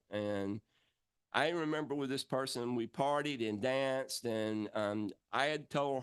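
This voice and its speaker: In an American accent, a man with a normal speaking voice talks at a fairly slow pace with ordinary pitch variation, in a dry, close sound with no echo. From rural Georgia, US South. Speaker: entertainer, puppeteer. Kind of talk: talk to an audience.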